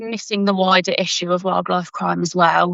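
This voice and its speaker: A woman with a British accent, at a moderate pace, her pitch varying in an ordinary way. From UK. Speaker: forensic science graduate and conservation volunteer. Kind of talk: interview answers. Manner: halting, repeats words.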